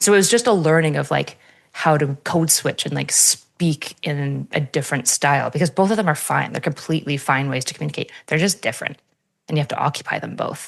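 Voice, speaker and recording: Vocal fry at a fairly quick pace with ordinary pitch variation. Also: woman, very deep, low pitch for a woman. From French Canada. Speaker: podcast guest. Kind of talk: casual chat. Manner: direct.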